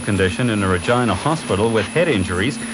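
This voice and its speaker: Noticeable background noise runs under a man talking at a fairly quick pace. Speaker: radio newscaster. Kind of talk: radio news bulletin read. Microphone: old recording.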